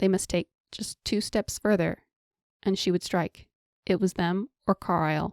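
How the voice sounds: Fairly even intonation in a natural reading voice, quiet in the background.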